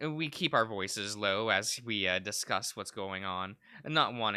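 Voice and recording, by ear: The intonation stays lively throughout. The text is read aloud in a natural voice.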